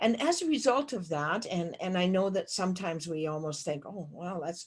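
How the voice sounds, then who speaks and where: Somewhat breathy, a woman at medium pitch speaks at a moderate pace with lively intonation and hardly any pauses. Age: 70s. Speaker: keynote speaker. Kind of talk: keynote speech. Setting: virtual conference.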